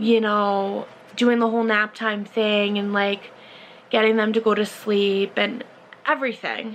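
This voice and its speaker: A woman's fairly high-pitched voice, very even in loudness, at a fairly slow pace with monotone, flat intonation. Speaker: vlogger. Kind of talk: casual chat. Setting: alone talking to a camera.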